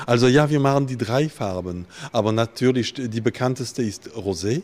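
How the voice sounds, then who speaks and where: At a moderate pace, a man speaks in a medium pitch that varies in an ordinary way. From Alsace, France. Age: 50s. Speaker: winemaker. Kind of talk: interview. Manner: halting.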